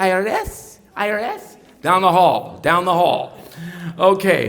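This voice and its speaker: A loud man with an American accent, with audible room echo. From Ohio. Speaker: pastor. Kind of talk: political speech. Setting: stage with audience.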